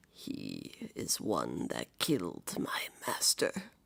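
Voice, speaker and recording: In a put-on character voice, a man growls out raspy words at a very slow pace. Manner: snarling, growly.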